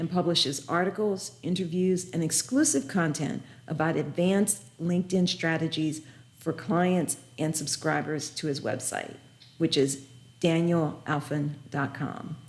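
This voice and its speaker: In an American accent, a woman with a fairly low pitch and a somewhat breathy voice speaks at a moderate pace with ordinary pitch variation. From US South. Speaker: podcast host. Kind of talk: podcast interview.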